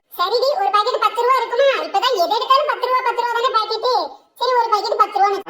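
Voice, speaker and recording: In a cartoonish character voice, a woman speaks at an extremely high pitch and a fairly quick pace with fairly even intonation. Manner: exclaiming, flustered.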